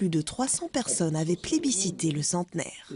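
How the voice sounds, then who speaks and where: A woman with a dark, mellow tone and fairly low pitch speaks with very wide pitch swings. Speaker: TV news reporter. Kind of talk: news report narration.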